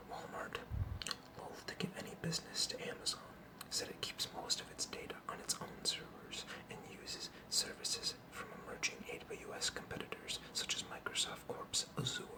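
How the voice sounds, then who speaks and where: Whispered words come at a moderate pace amid noticeable background noise. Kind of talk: news article reading.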